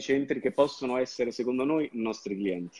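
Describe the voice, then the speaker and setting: Recorded dry and close with no echo against a quiet background, a man speaks in a dark, mellow tone. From southern Italy, Campania (province of Salerno, Sapri). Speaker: marketing agency owner. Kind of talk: interview.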